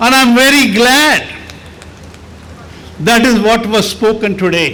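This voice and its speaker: Amid noticeable background noise and audible room echo, a man speaks very slowly in a raised, projected voice at a high pitch. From India. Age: 80s+. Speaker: architect. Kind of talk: speech.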